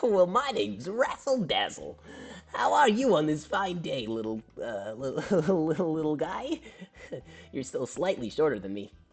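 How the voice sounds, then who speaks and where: Long, frequent pauses break up a put-on character voice. The pace is moderate and the pitch middle. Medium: actual play. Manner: upbeat, showy.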